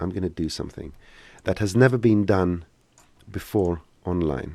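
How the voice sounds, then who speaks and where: The voice carries vocal fry and moves at a moderate pace. The sound is dry, with no echo. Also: man. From Greece. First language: Greek. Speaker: software trainer. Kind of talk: live Q&A tutorial. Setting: live stream. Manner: halting. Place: home room. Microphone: studio mic.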